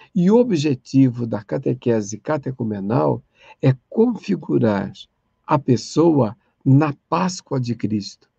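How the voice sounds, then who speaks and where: A man with a medium-pitched, dark, mellow, somewhat breathy voice talks very slowly with very wide pitch swings, the sound dry and close with no echo. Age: 60s. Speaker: catechesis lecturer. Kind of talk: online lecture.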